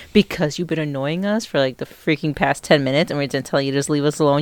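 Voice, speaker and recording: Very deep and low for a woman, her quiet voice moves at a very fast pace with ordinary pitch variation. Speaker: host's wife.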